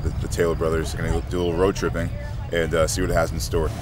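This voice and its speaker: Recorded dry with no echo but with noticeable background noise, a man talks in a very deep, low voice. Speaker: guest. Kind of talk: casual vlog chat. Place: street.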